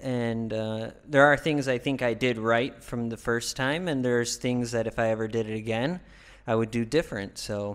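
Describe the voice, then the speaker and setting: Recorded very cleanly against a silent background, a man speaks at a moderate pace in a medium pitch with fairly even intonation. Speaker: vlogger and bar owner. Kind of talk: informal explainer talk. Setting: home studio. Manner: monotone; hesitant, many fillers.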